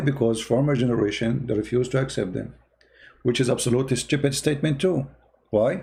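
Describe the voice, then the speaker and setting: In a very clean recording with a silent background, a man talks at a moderate pace at medium pitch, sounding somewhat breathy with a dark, mellow tone. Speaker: religious debater. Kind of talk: live-stream commentary. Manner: animated; halting.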